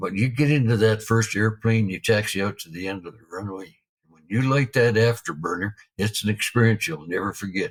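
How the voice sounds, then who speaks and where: Fairly low-pitched and somewhat breathy, a man talks at a fairly quick pace with ordinary pitch variation. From Canada, Alberta. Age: 70s. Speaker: retired military pilot. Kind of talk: interview storytelling. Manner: casual, relaxed.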